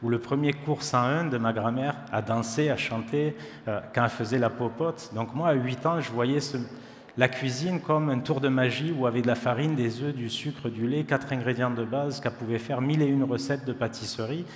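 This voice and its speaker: A man with a southern French accent at a fairly quick pace, fairly even intonation, audible room echo and noticeable background noise. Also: medium pitch for a man. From southern France, Perpignan area. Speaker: chef. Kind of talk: conference talk. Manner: casual.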